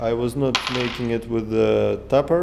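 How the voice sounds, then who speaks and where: With a Russian accent and very wide pitch swings, a man talks at a very slow pace amid audible room echo. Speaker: DIY engine hobbyist. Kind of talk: tutorial. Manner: halting, many fillers.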